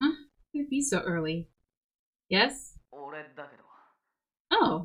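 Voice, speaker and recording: A woman speaks at a medium pitch with a somewhat breathy sound. Her pitch swings very widely. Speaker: streamer playing visual novel. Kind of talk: reading game text aloud with chat commentary. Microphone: quiet mic, gain boosted.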